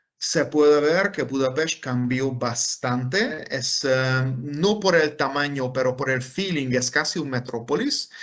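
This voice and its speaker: A man with a Hungarian accent and a fairly high voice, talking at a very slow pace with hardly any pauses. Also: ordinary pitch variation. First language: Hungarian (speaking Spanish). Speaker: professor. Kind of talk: lecture. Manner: halting, many fillers.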